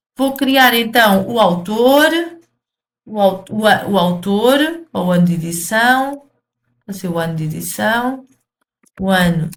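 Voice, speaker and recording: This woman talks at a very slow pace with a European Portuguese accent. Her voice sits at a medium pitch, swings very widely in pitch, and is somewhat breathy. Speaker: programming teacher. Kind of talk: video lesson tutorial. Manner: halting, many fillers and repetitions.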